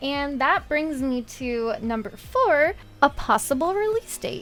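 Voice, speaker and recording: Music plays behind a woman as she talks. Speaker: gaming content creator. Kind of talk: gaming commentary voiceover.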